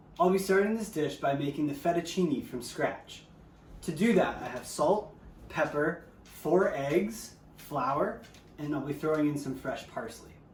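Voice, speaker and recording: Delivered at a fairly slow pace in a Canadian accent with ordinary pitch variation, the speech carries audible room echo and noticeable background noise. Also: man, fairly high pitch for a man. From Ontario, Canada (Windsor). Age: 20s. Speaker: amateur cook. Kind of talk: cooking tutorial narration.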